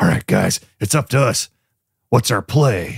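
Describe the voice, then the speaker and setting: A put-on character voice, raspy, at medium speed. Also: man, medium pitch for a man. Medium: actual play.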